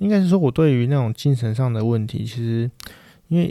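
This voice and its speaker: Speaking at a fairly quick pace, a man with a Taiwanese accent has a dark, mellow tone and a medium pitch. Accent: Taiwanese Mandarin. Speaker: podcast host. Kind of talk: solo casual monologue. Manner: hesitant, many filler words.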